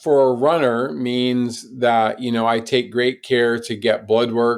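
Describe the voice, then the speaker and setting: In an American accent, a plain, everyday voice moves at a fairly slow pace. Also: man. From US South. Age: 60s. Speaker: ultrarunner and adventurer. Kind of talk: interview conversation. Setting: podcast.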